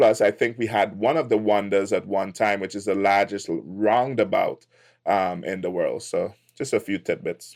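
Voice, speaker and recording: Moderate-paced speech from a man, very clean recording, silent background. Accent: Trinidadian. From Trinidad and Tobago. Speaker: tech entrepreneur. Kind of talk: podcast interview.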